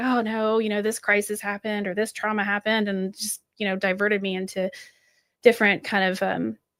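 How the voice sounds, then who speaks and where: Speaking very fast, a woman uses a fairly high pitch. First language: French. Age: middle-aged. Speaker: aspiring law student and business mentor. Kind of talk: podcast interview. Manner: hesitant, many fillers.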